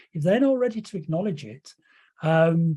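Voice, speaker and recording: A man speaks at a fairly quick pace with lively intonation and a dark, mellow tone against a quiet background. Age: 60s. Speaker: hypnotherapy trainer. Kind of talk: lecture. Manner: hesitant, many fillers.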